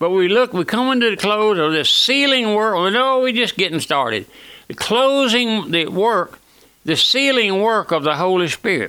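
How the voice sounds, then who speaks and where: A man speaks in a high, raised, projecting voice with a Louisiana accent. His intonation is lively and his loudness stays very even. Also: moderate pace. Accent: Southern US (Louisiana). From US South, Louisiana. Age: 80s+. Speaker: radio preacher. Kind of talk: radio sermon. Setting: radio broadcast.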